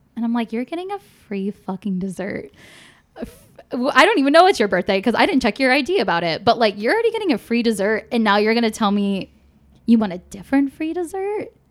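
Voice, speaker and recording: A woman with a Michigan accent at a very fast pace, her pitch swinging very widely. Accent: Midwestern American (Michigan). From suburb of Detroit, Michigan. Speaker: comedian. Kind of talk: casual chat. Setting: home studio.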